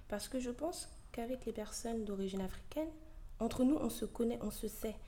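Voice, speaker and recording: A woman's fairly high voice with a dark, mellow tone, vocal fry, lively intonation and a moderate pace, plus audible room echo. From Ivorian heritage. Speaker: podcast host. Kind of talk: opinion monologue. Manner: animated.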